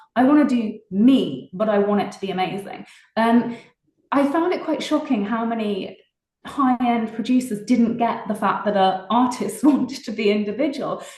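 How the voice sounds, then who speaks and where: A woman with a strong British accent speaks at a moderate pace in a fairly high pitch with ordinary pitch variation, and audible room echo surrounds her voice. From England, Oxfordshire. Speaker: singer-songwriter. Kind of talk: interview.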